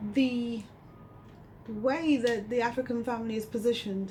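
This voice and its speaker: Against noticeable background noise, a woman with a high pitch speaks at a moderate pace. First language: not English. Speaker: community educator. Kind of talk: radio interview.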